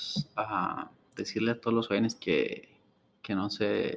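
The man in this clip talks at a very slow pace. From Mexico, Ciudad Juárez. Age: 20s. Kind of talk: interview. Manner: halting.

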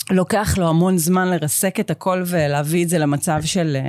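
A woman speaks at a fairly slow pace in a fairly low pitch. She has a plain, everyday voice. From Israel, Even Yehuda. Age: 30s. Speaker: nutrition and fitness coach. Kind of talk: interview.

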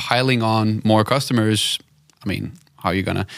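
With a Danish accent, a man speaks at medium pitch and a moderate pace on a very clean recording with a silent background. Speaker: podcast host, video production company owner. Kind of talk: interview. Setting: studio.

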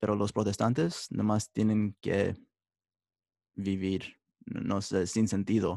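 A man speaks very slowly at a fairly low pitch, his tone dark and mellow and his intonation fairly even, in a dry, close sound with no echo. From United States, Mexican-American family. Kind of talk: interview testimony. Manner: halting, many fillers.

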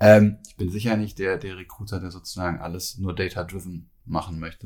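Very deep and low in pitch, a man speaks somewhat breathily with fairly even intonation on a very clean recording with a silent background. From Cologne, Germany. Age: 30s. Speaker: recruiting director. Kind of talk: podcast interview. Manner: hesitant, many fillers and repetitions.

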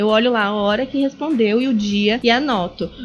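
With noticeable background noise behind her, a woman's speech moves at a moderate pace and shows ordinary pitch variation. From Brazil, Natal (Rio Grande do Norte). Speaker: communications consultant, journalist. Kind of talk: casual interview chat. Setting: home studio.

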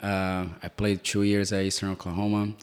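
A man with a Brazilian accent speaks fairly quickly in a fairly low pitch, his intonation monotone and flat. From Brazil, Sao Paulo. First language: Portuguese. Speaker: soccer coach. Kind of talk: casual interview. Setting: in-person recording in an office.

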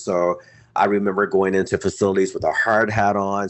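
With an American accent, a man speaks fairly quickly at a fairly low pitch in an unremarkable speaking voice. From southeastern North Carolina (Lumbee). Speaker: philanthropy leader and author. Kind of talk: interview.

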